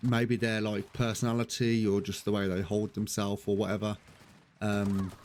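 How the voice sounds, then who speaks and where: A man talks at a moderate pace in a fairly low voice. His intonation is monotone and flat. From Birmingham, England. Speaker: gaming streamer. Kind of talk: live gameplay commentary. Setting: live stream. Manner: hesitant, many ums.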